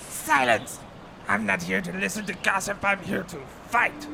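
Against clear background noise, a man does a put-on character voice at a fairly high pitch. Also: moderate pace. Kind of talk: comic overacting. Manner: pompous, then exasperated and sulky.

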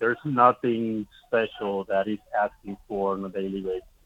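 Against noticeable background noise, a man talks fairly slowly in a fairly low, monotone voice with flat intonation, the sound dry and close with no echo. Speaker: minor league baseball manager. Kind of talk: casual interview.

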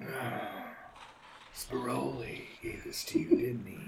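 A man speaks in a raspy, put-on character voice at a fairly slow pace. Clear background noise runs behind him. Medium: actual play. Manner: laid-back, easygoing.

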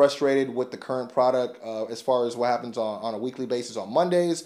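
At a fairly quick pace, a man talks in a medium pitch with a plain, everyday voice. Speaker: wrestling podcast host. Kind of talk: casual podcast chat, show review and promo. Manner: casual, conversational, filler words.

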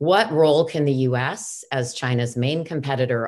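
A woman's very deep, low voice, with ordinary pitch variation and a fairly slow pace over a quiet background. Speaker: interviewer, lawyer and human rights advocate. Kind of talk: moderated interview. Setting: video call.

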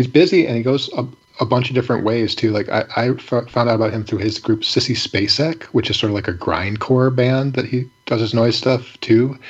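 A man with an American accent speaks at a medium pitch and a fairly quick pace, with hardly any pauses. His intonation is fairly even, and there is noticeable background noise. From Michigan, Ypsilanti. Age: 40s. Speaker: independent musician. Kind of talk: casual chat.

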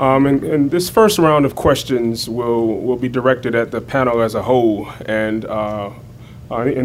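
A man's medium-pitched voice with an American accent, fairly slow, with audible room echo. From Raleigh, North Carolina. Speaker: history professor and moderator. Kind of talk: moderating panel; lecture. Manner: halting, repeats words.

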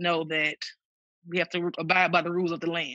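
At a fairly quick pace, a woman with a Mississippi accent speaks in a bright, sharp tone at a fairly low pitch. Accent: Mississippi Southern US. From Mississippi, Tuscola. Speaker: church music director. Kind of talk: casual chat. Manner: halting.

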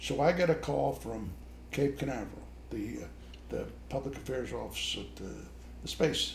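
With audible room echo, a man speaks in a very deep, low voice marked by vocal fry and very wide pitch swings. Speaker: retired army officer. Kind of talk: family conversation.

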